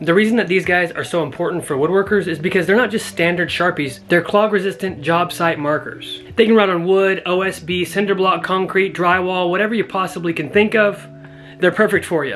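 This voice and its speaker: With music playing behind, the speech moves at a fairly quick pace with hardly any pauses. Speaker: woodworking YouTuber. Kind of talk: product review tutorial. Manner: casual, conversational; soft-spoken.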